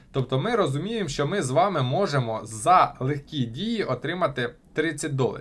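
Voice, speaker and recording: A man's normal speaking voice, fairly high in pitch, with lively intonation at a moderate pace. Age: 20s. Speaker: crypto blogger. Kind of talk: tutorial.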